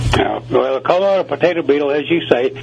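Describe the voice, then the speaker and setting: A man with an American accent, talking at a very fast pace with lively intonation, over noticeable background noise. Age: 70s. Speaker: gardener. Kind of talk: radio interview.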